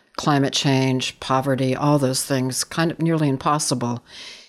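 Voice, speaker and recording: The speaker has a Californian accent. The pace is fairly slow. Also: woman. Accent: Californian American. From US West Coast, San Francisco Bay Area. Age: 60s. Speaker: photographer. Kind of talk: interview. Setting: remote recording.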